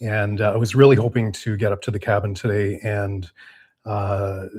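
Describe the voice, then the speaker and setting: A man speaks at a moderate pace, his voice somewhat breathy. The recording is very clean, with a silent background. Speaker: off-grid cabin and beekeeping youtuber. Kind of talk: casual livestream chat. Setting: indoor livestream. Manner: halting, many fillers.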